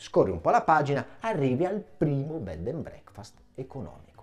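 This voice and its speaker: A man speaks in an animated, theatrical tone with very wide pitch swings and vocal fry. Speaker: stand-up comedian. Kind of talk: stand-up comedy routine. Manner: animated, mock-outraged, theatrical; fast, punchline-driven with comic pauses. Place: studio.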